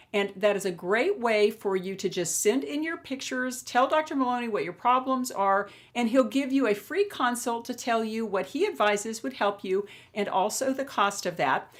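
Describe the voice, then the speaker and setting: In an ordinary speaking voice, a woman talks at a moderate pace with lively intonation and a fairly high pitch. The recording is very clean, the background silent. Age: 60s. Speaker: beauty vlogger. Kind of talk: video diary.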